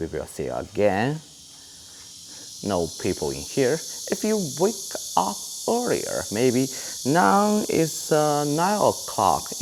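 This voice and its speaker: Amid noticeable background noise, a man with a Chinese accent talks at a very slow pace, with long, frequent pauses. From China. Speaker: travel vlogger. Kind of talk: casual walking tour talk to camera.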